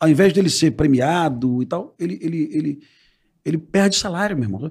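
A man talks at a high pitch and a fairly quick pace. His pitch swings very widely. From Rio de Janeiro. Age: 50s. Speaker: former police officer. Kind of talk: casual chat.

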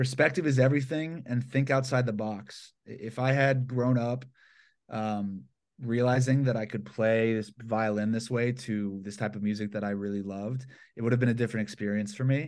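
At a moderate pace and medium pitch, a man with an American accent uses a normal speaking voice with ordinary pitch variation against a quiet background. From Atlanta, Georgia, US South. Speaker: violinist and hip-hop producer. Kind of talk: casual interview. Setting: remote call from his bedroom.

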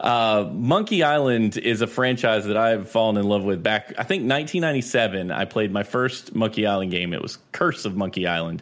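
With an American accent, a man talks in an unremarkable speaking voice at a fairly low pitch with ordinary pitch variation. He goes at a fairly quick pace with hardly any pauses. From North Carolina. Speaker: Twitch streamer. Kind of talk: casual chat.

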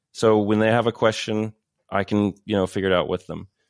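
In a very clean recording with a silent background, a man speaks with a fairly low pitch and an American accent. He has a normal speaking voice and a fairly quick pace. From Texas, Paris (small town). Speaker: film and TV composer. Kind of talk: casual interview.

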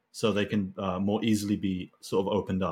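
On a very clean recording with a silent background, a man talks fairly quickly in a fairly low pitch with a plain, everyday voice. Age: young. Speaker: viewer in a group support session. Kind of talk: group therapy session.

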